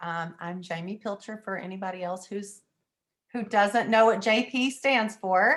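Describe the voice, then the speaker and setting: With a Texan accent, a woman speaks fairly slowly at medium pitch, with ordinary pitch variation and big swings in loudness. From East Texas. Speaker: direct sales consultant and training panelist. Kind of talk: casual online training panel.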